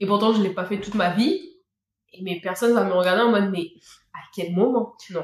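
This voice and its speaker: Somewhat breathy woman's speech, fairly quick yet broken by long, frequent pauses, with fairly even intonation. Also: medium pitch for a woman. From Réunion. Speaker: Réunion local sharing her culture. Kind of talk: casual chat.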